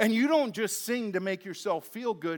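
Speaking at a fairly slow pace, a man with a high pitch uses lively intonation. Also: very clean recording, silent background. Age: 30s. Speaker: pastor. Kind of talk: sermon.

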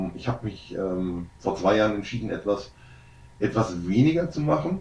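A somewhat breathy man's voice, fairly low in pitch, moves at a moderate pace. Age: 30s. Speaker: entrepreneur and disaster relief worker. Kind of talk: casual interview. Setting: on location in a relief camp.

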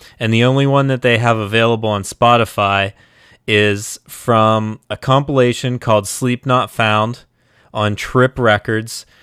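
At a fairly slow pace, a man speaks at medium pitch in a monotone, flat intonation, with a dry, close sound and no echo. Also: very clean recording, silent background. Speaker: music podcaster and Twitch streamer. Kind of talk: casual live stream chat. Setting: live Twitch stream, home setup. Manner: casual, rambling, with filler words.

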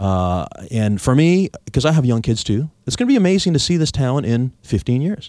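Very wide pitch swings mark this man's medium-pitched voice. His tone is dark and mellow, and his pace moderate. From Victoria, British Columbia, Canada. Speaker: radio host and real estate agent. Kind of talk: radio talk show interview.

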